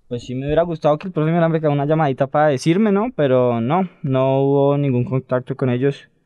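A man's fairly high pitch with ordinary pitch variation, in a normal speaking voice. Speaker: youth academy footballer. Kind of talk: casual interview.

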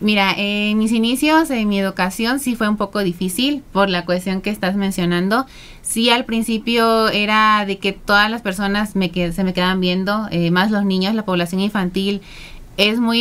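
In a very clean recording with a silent background, a woman with a plain, everyday voice speaks at a moderate pace and medium pitch with fairly even intonation. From southern Veracruz, Mexico. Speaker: beauty pageant contestant and psychologist. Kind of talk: interview. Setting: radio studio.

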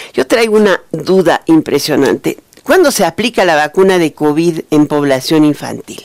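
A woman's plain, everyday voice, fairly low in pitch, at a moderate pace with lively intonation, in a dry, close sound with no echo. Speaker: radio news host. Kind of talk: radio news and interview.

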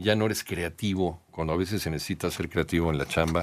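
Over a silent background on a very clean recording, a man speaks at a fairly quick pace with fairly even intonation. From Mexico. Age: 50s. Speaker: news radio host. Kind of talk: casual news commentary.

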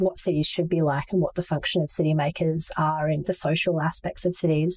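Talking at a fairly quick pace, a woman with an Australian accent has a dark, mellow tone. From Asia (Manila) and Brisbane, Australia. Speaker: startup founder and CEO. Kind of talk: interview. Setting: video call.

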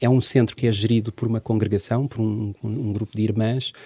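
Against a quiet background, a man with a dark, mellow tone and medium pitch speaks at a moderate pace with fairly even intonation, the sound dry and close with no echo. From Portugal. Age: 40s. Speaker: social worker and former teacher. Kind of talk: interview. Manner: halting.

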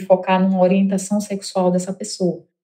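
Speaking at a moderate pace with a northeastern Brazilian accent, a woman has a medium pitch and a dark, mellow tone. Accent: northeastern Brazilian accent, noticeable. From Northeast Brazil, Mossoró (Rio Grande do Norte). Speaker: HR tech founder. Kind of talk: interview.

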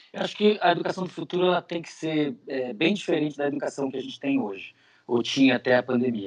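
A man's fairly high voice at a very fast pace, with big swings in loudness. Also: lively intonation. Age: 40s. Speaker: neuroscientist and professor. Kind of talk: interview.

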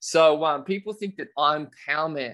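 Energetic in tone, a man with a fairly high pitch speaks at a fairly slow pace. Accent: Australian. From Australia, rural New South Wales. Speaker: children's author and kettlebell champion. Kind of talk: interview.

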